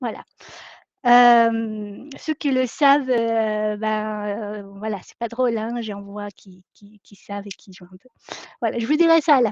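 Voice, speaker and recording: Speaking at a very slow pace, a woman with a Latin American Spanish accent has a fairly high pitch and ordinary pitch variation. Her loudness swings widely, and the sound is dry and close with no echo. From Ecuador. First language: Spanish (speaking French). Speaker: company founder and trainer. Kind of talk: live online masterclass. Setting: live video webinar. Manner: hesitant, many filler sounds.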